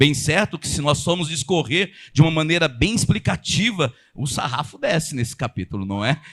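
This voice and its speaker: A man talks in an animated tone with lively intonation and vocal fry. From São Paulo, Brazil. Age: 50s. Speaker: pastor. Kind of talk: sermon. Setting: church. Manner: fast.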